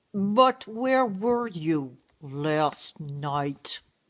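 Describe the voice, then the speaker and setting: A put-on character voice sits at a middle pitch. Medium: stage play.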